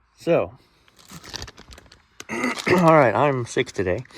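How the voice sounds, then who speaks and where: Lively intonation from a male speaker, with noticeable background noise behind him. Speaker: restaurant repair technician. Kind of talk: tutorial. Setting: basement.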